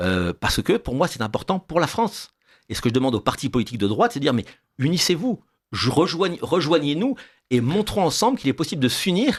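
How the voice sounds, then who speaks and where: A man speaks very fast in a fairly high voice with vocal fry and very wide pitch swings. The recording is very clean, with a silent background. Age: 60s. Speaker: political candidate. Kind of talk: radio interview.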